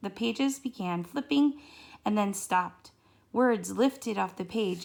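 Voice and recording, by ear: The words are read aloud in a natural voice. Intonation moves in a lively way.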